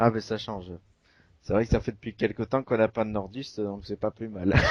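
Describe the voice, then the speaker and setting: The delivery is fairly quick and monotone, with flat intonation. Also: man, fairly low pitch for a man, dry, close sound with no echo. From southwestern France. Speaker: wrestling podcast host. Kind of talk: casual chat.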